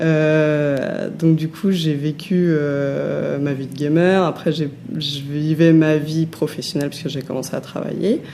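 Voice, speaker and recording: A woman with a very deep, low pitch speaks very slowly in a flat monotone over noticeable background noise. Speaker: former online gamer. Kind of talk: interview answer. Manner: soft-spoken.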